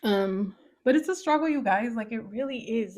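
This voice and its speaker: This woman has an American accent. She talks at a moderate pace. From US, brought from Mexico as baby. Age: 30s. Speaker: podcast host. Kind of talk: personal storytelling monologue. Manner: casual, halting with fillers.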